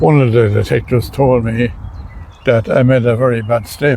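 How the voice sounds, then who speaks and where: Moderately paced, medium-pitched male speech with fairly even intonation. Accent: Irish midlands. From Ireland, County Laois. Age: 80s+. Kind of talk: interview answer.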